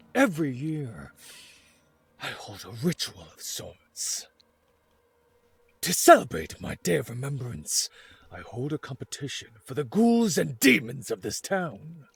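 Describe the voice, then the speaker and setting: A man puts on a character voice at a medium pitch, speaking at a fairly slow pace with long, frequent pauses. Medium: game stream. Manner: smooth, courteous, quietly menacing.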